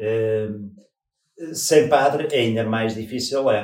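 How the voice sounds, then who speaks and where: In a dark, mellow tone, a man speaks at a very slow pace with ordinary pitch variation. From northern Portugal. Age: 50s. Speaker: parishioner. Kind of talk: interview. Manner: halting.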